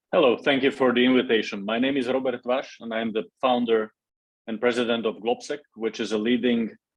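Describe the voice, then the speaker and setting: A man talks fairly quickly, his pitch sitting in the middle range. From Slovakia, Bratislava. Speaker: think tank founder and president. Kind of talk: interview. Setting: in-person conversation in Brussels.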